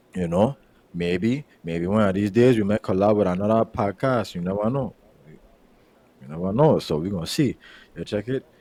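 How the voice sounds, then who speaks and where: A man with a Virgin Islands accent, fairly low in pitch with ordinary pitch variation and a dark, mellow tone, at a moderate pace with long, frequent pauses, in a dry, close sound with no echo. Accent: Virgin Islands accent, unchanged. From US Virgin Islands. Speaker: podcast host. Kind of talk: casual chat. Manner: repetitive, halting starts.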